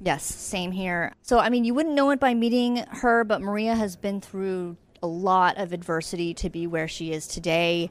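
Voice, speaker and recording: A woman with a normal speaking voice at medium pitch and moderate pace, with ordinary pitch variation and hardly any pauses. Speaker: podcast host and editor. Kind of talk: interview. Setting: live event recording.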